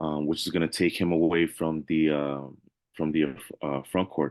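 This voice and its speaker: A man's very deep, low voice with an American accent, at a fairly slow pace. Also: quiet background. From New York, Queens. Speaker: sports podcast co-host. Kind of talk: casual sports chat.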